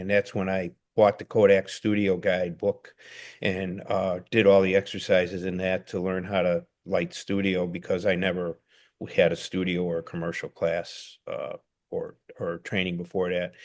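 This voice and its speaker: A man's fairly low-pitched voice with a Chicago accent. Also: quiet background. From Chicago, US. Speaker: documentary photographer. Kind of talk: casual interview chat.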